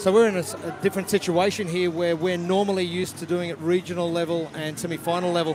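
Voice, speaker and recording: A man's high-pitched, monotone, flat delivery in a New Zealand accent at a very fast pace with hardly any pauses, amid noticeable background noise and audible room echo. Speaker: sports commentator. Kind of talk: live commentary.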